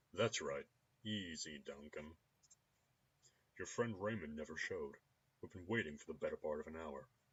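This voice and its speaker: Using a put-on character voice, a man speaks very deep and low at a moderate pace, leaving long, frequent pauses. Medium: game stream. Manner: casual, amused.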